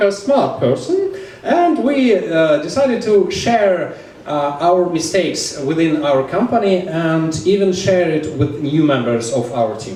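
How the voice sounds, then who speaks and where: With a Russian accent, the speaker talks at a fairly slow pace with very wide pitch swings, amid audible room echo and noticeable background noise. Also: man. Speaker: DevOps engineer. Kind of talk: conference talk. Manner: halting, frequent fillers.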